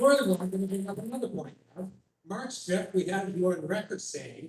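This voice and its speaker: The intonation here is lively. The pace is moderate. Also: man. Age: 60s. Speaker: member of the public. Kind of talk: public meeting question.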